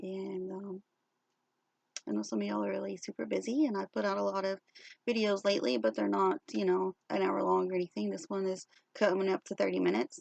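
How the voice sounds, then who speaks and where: The recording is dry and close, with no echo. A woman talks fairly quickly. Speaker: crochet vlogger. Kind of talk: casual show-and-tell vlog. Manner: hesitant, many fillers.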